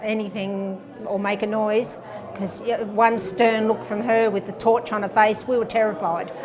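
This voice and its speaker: A woman talks at a moderate pace with an Australian accent and a fairly high pitch. Her intonation is monotone and flat, with noticeable background noise. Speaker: local resident recalling the past. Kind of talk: interview recollection.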